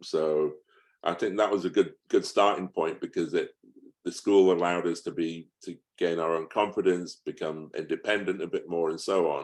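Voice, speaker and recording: Speaking in an English accent, a man keeps a moderate pace. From England. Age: 60s. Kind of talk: interview. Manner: hesitant, with fillers and repeats.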